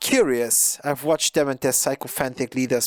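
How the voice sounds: This is a natural reading voice. It reads the text naturally.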